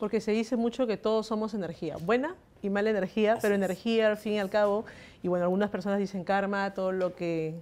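At a very fast pace, a woman talks with fairly even intonation. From Peru. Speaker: news agency journalist. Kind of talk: interview. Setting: live stream. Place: home room. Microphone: handheld.

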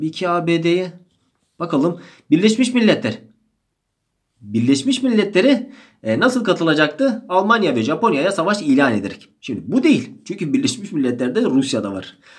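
Moderate-paced speech from a man, high in pitch, with very wide pitch swings and audible room echo. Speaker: history teacher. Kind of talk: exam-prep lecture.

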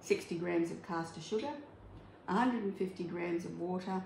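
A woman speaks amid light background noise, with audible echo in the room. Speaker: home cooking demonstrator. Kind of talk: tutorial. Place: kitchen. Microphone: phone near.

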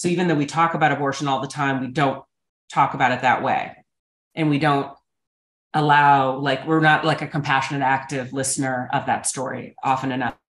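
A woman speaks fairly quickly in a very deep, low pitch. Her intonation stays flat and monotone, with audible room echo. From North Dakota (Fargo); North Dakota. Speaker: author and documentary maker; guest. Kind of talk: casual interview. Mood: thoughtful, earnest. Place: home room. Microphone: video call.

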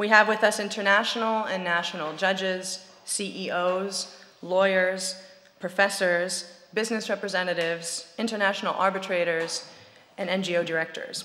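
A moderate pace with monotone, flat intonation. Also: woman. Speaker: event host opening session. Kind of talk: formal opening speech. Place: hall. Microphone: podium.

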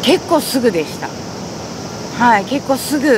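Against noticeable background noise, a woman talks at a moderate pace in a dry sound with no echo. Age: 40s. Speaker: patient interviewee. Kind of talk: testimony; interview answer. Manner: halting. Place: garden.

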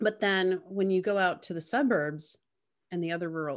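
Someone with an American accent speaks at a moderate pace. The background is quiet. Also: woman. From New York City. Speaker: interviewer. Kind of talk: casual chat. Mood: earnest, critical. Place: home room. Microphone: video call.

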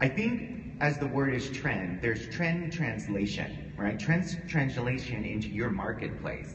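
Faint music plays behind a man with an American accent who speaks at a moderate pace with lively intonation. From US, Pittsburgh, Pennsylvania. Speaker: hair colorist; panelist. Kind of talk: panel talk to a live audience. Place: hall.

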